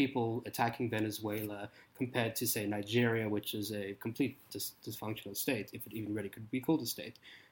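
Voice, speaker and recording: A man with a South African accent at a fairly quick pace with ordinary pitch variation. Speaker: PhD student and political writer. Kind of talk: casual political discussion.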